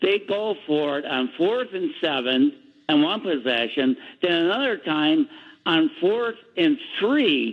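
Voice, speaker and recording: This man has a high voice and speaks at a very slow pace. His pitch swings very widely. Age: 70s. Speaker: caller. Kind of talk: call-in comment. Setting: phone call.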